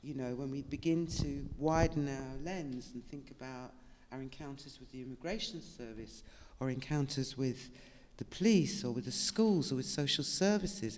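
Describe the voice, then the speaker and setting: A woman with a very deep, low pitch speaks at a moderate pace with lively intonation. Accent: British. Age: 70s. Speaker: author and activist. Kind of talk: panel discussion.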